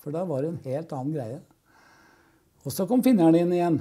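Very fast and lively in intonation, a man talks at a high pitch for a man. His tone is dark and mellow, with a quiet background. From Oslo east, Norway; Norway. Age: 70s. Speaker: rock musician. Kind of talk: casual chat. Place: studio. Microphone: lapel.

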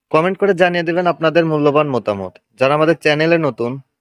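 A man with a normal speaking voice talks at a fairly high pitch with ordinary pitch variation, in a dry, close sound with no echo. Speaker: YouTuber and auto-rickshaw driver. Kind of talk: vlog narration and interview.

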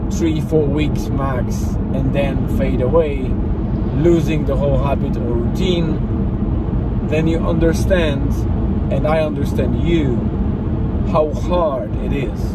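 A man talks at a very slow pace with long, frequent pauses, his dry sound carrying no echo over loud background noise. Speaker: daily vlogger. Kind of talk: casual vlog chat. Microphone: phone near.

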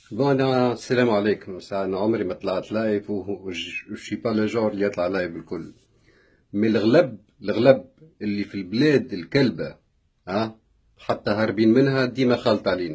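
A man's fairly low, somewhat breathy voice at a moderate pace, with ordinary pitch variation over a quiet background. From Tunisia. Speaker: vlogger; vlogger telling a personal story. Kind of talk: live video rant. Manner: animated. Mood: upset, indignant. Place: home room. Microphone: phone near.

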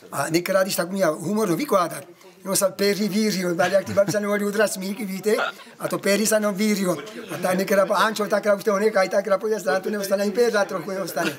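Noticeable background noise sits behind a man talking at a very fast pace with a Moravian Slovak accent. His pitch is high and his intonation fairly even. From Moravian Slovakia, Czech Republic. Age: 70s. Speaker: elderly villager. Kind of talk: interview answer. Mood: humorous, animated. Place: garden. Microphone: phone near.

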